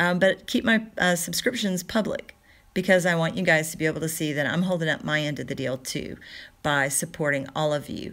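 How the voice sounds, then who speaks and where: Speaking at a fairly quick pace, a woman with a fairly low pitch and ordinary pitch variation comes through on a very clean recording with a silent background. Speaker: live streamer and online community organizer. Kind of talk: casual livestream update and tutorial. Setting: YouTube live stream. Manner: loud, projecting voice toned down.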